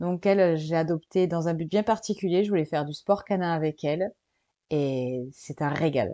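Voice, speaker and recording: A dark, mellow tone with ordinary pitch variation moves at a moderate pace in a dry, close sound with no echo. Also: woman, fairly low pitch for a woman. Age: 20s. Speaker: digital nomad, freelance web writer. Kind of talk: casual interview.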